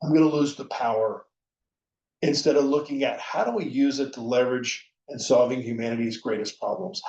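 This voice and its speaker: Heard at medium pitch with ordinary pitch variation, a man has an unremarkable speaking voice. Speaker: conference speaker. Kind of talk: conference presentation. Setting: virtual conference.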